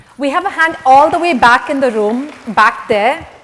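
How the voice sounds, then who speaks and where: A woman talks high in pitch, her intonation lively, as noticeable background noise carries on around her. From India. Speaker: conference speaker, management coach. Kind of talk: workshop talk. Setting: stage with audience.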